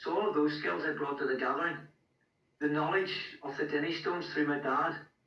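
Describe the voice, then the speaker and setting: Amid audible room echo, a man with a strong Scottish accent speaks at a fairly quick pace in a fairly high pitch, with fairly even intonation and long, frequent pauses. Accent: heavy Scottish. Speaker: stone lifting event organiser and musician. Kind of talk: podcast interview.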